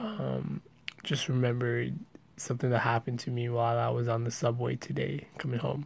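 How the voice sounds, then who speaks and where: Fairly quick male speech under noticeable background noise. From Pakistan. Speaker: storyteller. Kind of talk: casual monologue. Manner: casual, hesitant with fillers.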